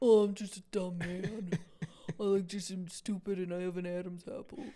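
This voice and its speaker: A woman performs a put-on character voice at a medium pitch. Her loudness swings widely. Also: moderate pace. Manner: mocking, exaggerated.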